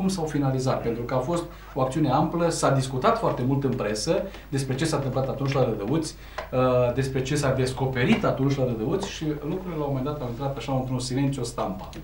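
Talking at a very fast pace, a man with a medium pitch and ordinary pitch variation is heard with audible room echo and light background noise. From Romania. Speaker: TV talk show host. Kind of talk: TV interview. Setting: TV studio. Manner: hesitant, many filler sounds. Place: studio.

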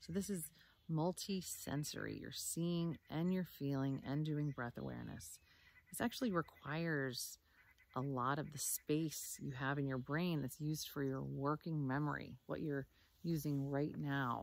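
A woman with a very deep, low pitch and ordinary pitch variation speaks in a calm, soothing tone, the sound dry with no echo. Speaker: meditation teacher. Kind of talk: guided meditation, calm instructions. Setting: video recording outdoors. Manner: slow, soothing, gentle; calm and measured, with long pauses. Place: forest. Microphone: phone near.

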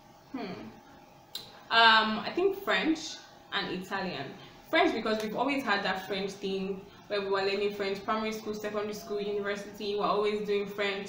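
A woman's medium-pitched voice at a fairly quick pace, fairly even intonation, audible room echo and light background noise. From Nigeria. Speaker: YouTuber. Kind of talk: casual Q&A vlog. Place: home room. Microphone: phone near.

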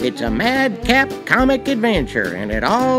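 Music sounds behind the voice. The delivery is very slow. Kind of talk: promotional commercial read.

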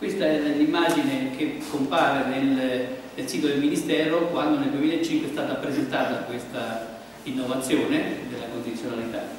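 Strong room echo and light background noise surround a man who speaks at a moderate pace. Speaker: organic farming association coordinator. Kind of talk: conference talk. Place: hall.

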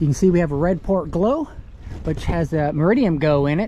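Over light background noise, a man speaks at a moderate pace with lively intonation, the sound dry and free of echo. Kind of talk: casual walkthrough tour commentary. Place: boat. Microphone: phone near.

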